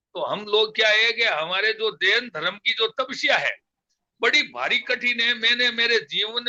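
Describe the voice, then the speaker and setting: A man speaks in a raised, projected voice at extremely high pitch. His tone is bright and sharp. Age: 70s. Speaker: community elder, guest. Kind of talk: interview, reflective talk. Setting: live online program. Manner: halting, many fillers.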